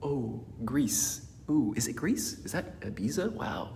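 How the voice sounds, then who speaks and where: Audible room echo is present. A man is the one speaking. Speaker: motivational speaker. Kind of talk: motivational talk. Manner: energetic.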